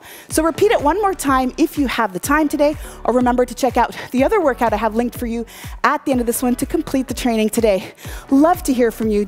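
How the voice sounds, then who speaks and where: Over faint background music, a woman speaks at a very fast pace with a high pitch. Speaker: fitness instructor. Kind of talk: workout coaching. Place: garage. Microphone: lapel.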